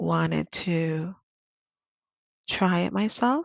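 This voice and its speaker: A Spanish accent colors this voice. It belongs to a woman. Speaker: interpreter and vlogger. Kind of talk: tutorial. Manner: casual, hesitant with fillers.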